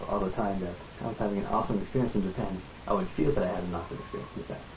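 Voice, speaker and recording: Noticeable background noise and audible room echo surround a man talking at a very fast pace. His pitch is fairly low, with ordinary variation. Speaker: vlogger. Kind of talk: casual vlog monologue. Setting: home, recording on tripod. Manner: halting, many fillers.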